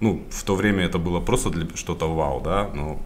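A man talks at a moderate pace with ordinary pitch variation, with noticeable background noise and audible room echo. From Kazakhstan, Karaganda. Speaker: retail sales director. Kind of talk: interview.

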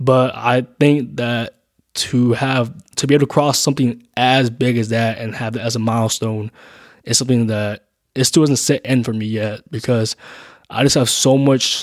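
On a very clean recording with a silent background, a man with an unremarkable speaking voice talks at medium pitch and a moderate pace, his intonation fairly even. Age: 20s. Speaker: podcast host. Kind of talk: casual solo monologue. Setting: home, recording late at night. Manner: casual, filler-heavy.

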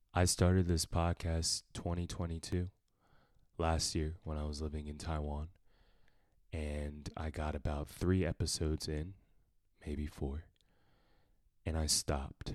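Pausing long and often, a man speaks fairly slowly in a very deep, low pitch with monotone, flat intonation. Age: 20s. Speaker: podcast host, musician and entrepreneur. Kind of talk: solo podcast monologue.

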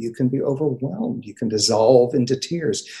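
A man speaks at a medium pitch in a somewhat breathy voice with a dark, mellow tone. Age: 60s. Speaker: therapist. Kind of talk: casual chat. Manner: halting.

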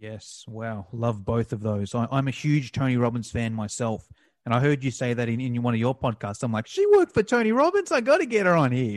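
With an unremarkable speaking voice, a man moves along fairly quickly at a medium pitch and ordinary pitch variation. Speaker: podcast host. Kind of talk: casual interview. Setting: remote call.

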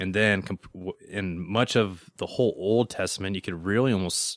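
At a moderate pace, a man with an American accent talks at a fairly low pitch and with fairly even intonation. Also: very clean recording, silent background. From Denver, Colorado. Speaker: Bible teacher. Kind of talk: Bible study teaching. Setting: church. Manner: hesitant, filler-heavy.

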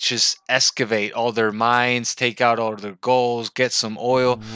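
Against a quiet background, a man with a Spanish accent speaks fairly slowly at a medium pitch, his tone bright and sharp and the sound dry and close with no echo. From Venezuela. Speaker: English teacher. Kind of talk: casual interview chat.

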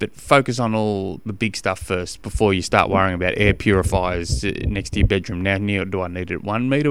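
With an Australian accent, this speaker moves at a fairly quick pace. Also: man. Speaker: triathlon coach podcast host. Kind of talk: solo podcast monologue. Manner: fast; casual, halting with fillers.

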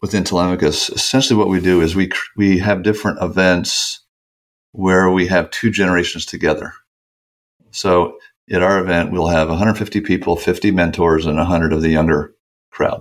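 In a very clean recording with a silent background, a man speaks at a very deep, low pitch with ordinary pitch variation. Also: very even loudness. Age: 60s. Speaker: mentoring organization founder, former Wall Street veteran. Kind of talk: interview answers.

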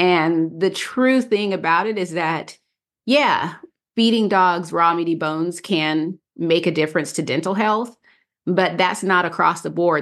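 A plain, everyday voice at a fairly slow pace with ordinary pitch variation, against a quiet background. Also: woman. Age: 50s. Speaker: dog blogger and podcast co-host. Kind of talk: casual chat.

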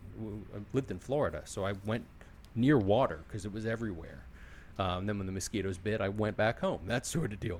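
This is a plain, everyday voice with an American accent. The pace is fairly quick. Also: man. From Philadelphia. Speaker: podcast host and sales executive. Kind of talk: casual interview chat.

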